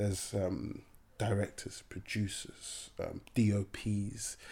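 A man speaks in a somewhat breathy voice. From Nigeria. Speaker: actor. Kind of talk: interview. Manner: halting, repeating words.

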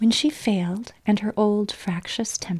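The voice reads in a natural manner.

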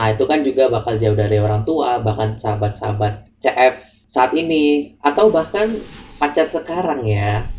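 This man has a plain, everyday voice at medium pitch. He talks at a moderate pace with lively intonation. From Java, Indonesia. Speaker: student podcast co-host. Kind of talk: casual chat. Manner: calm.

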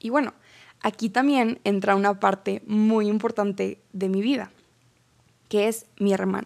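Long, frequent pauses break up a woman's speech at a fairly slow pace. Her pitch is medium, and her intonation is fairly even. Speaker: podcast host. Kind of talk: personal reflection monologue.

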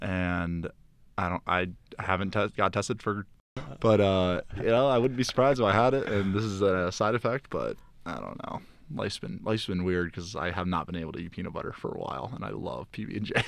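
An ordinary speaking voice: a man with an American accent, fairly low in pitch, with ordinary pitch variation and a fairly quick pace over a quiet background. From South Florida. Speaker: college student. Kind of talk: casual chat.

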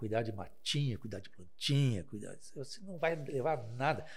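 A man's somewhat breathy voice at medium pitch, moving at a moderate pace. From Taquara, Rio Grande do Sul, Brazil. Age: 50s. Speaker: lawyer. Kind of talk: casual chat.

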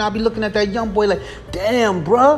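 A man's high-pitched, very fast speech with ordinary pitch variation, amid noticeable background noise. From US inner city streets. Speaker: podcast host. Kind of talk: solo monologue. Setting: late night home recording.

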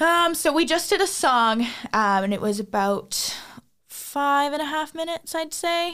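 In a Canadian accent, a woman talks at a moderate pace with a high pitch. Her pitch swings very widely, and the recording is very clean with a silent background. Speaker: singer. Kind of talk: casual chat. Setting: studio.

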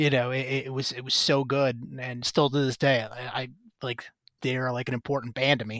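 The speech moves at a fairly quick pace with monotone, flat intonation in an American accent. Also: man, medium pitch for a man. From Chicago southwest suburbs. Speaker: podcast host, record label owner. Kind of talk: casual chat.

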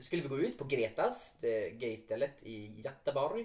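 This voice has a dark, mellow tone and moves through very wide pitch swings. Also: man. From Västerbotten, northern Sweden. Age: 30s. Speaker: podcast co-host, actor/performer.

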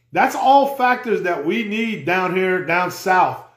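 There's audible room echo as a man talks at a moderate pace with ordinary pitch variation. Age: 40s. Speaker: outdoors podcast host. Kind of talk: casual solo podcast talk. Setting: live stream on social media.

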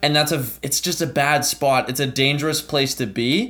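A man with a Canadian accent, at a moderate pace, with ordinary pitch variation. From Ottawa, Canada. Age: 20s. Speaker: travel content creator. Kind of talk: podcast interview. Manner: animated.

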